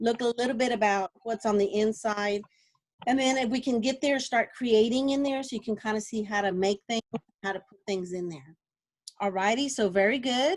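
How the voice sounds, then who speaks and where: This woman's voice sits fairly high, with ordinary pitch variation and big swings in loudness. The sound is dry with no echo, over a quiet background. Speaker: instructional technology specialist leading teacher training. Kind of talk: online training session. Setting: video call. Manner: fast. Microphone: video call.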